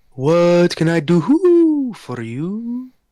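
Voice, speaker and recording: A put-on character voice at a middle pitch. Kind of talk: talk like this because I'm an owl. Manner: hooting.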